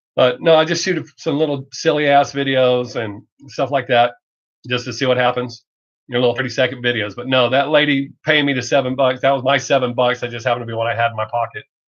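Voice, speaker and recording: A man with a strong Southern US accent talks at a very fast pace in a fairly even intonation. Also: medium pitch for a man. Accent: heavy Southern US. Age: 50s. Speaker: streamer. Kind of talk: casual chat. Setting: live stream.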